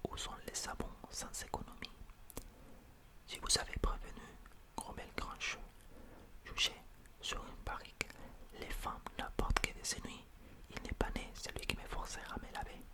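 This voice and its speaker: Against noticeable background noise, a man whispers at a fairly slow pace, with long, frequent pauses. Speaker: ASMR creator. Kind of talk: whispered bedtime story reading. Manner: whispered.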